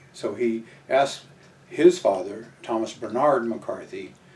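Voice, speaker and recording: Noticeable background noise sits under very slow speech delivered with an American accent. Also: man. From Southern California. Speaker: military veteran. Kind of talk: oral history interview. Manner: halting, many fillers.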